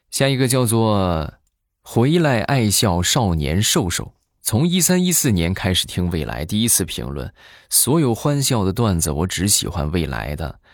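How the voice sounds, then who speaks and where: A man with a fairly low pitch talks at a fairly slow pace. His pitch swings very widely and his loudness shifts a lot. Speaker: podcast host. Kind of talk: comic storytelling monologue. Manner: animated.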